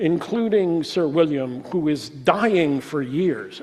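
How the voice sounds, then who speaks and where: An American accent from a man with a high pitch and ordinary pitch variation. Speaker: lecturer. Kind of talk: lecture Q&A. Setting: talk to a room audience, also streamed on Zoom. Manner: halting.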